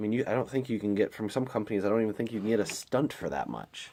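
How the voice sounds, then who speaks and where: A man's fairly low voice in a very clean recording with a silent background. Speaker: product reviewer. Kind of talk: product review. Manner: trying to be quiet.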